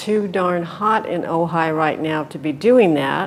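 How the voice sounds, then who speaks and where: A woman speaks at a fairly slow pace in a fairly low pitch with ordinary pitch variation. Noticeable background noise runs behind her. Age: 70s. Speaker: retiree. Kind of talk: interview answer.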